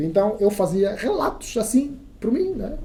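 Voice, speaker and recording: With a dark, mellow tone, a man's voice swings very widely in pitch. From Angola, Soyo (Zaire province). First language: Kissolongo (speaking Portuguese). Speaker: radio journalist. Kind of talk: casual interview chat. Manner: halting, many repetitions.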